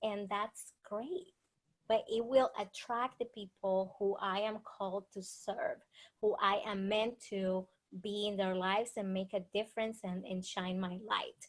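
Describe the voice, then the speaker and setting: A woman with a Dominican accent speaks at a fairly slow pace, her medium pitch held in fairly even intonation. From Dominican Republic. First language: Spanish. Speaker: author and speaker. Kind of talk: interview.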